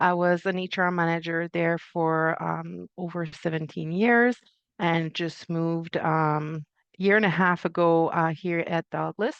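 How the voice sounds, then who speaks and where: With a Quebec French accent, the voice is monotone and flat, recorded dry and close with no echo over a quiet background. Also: woman. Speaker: HR manager. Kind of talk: panel discussion.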